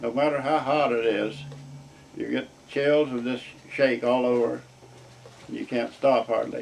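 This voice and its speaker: A man with an American accent at a fairly slow pace, over noticeable background noise. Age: 80s+. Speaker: war veteran. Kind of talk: interview answer.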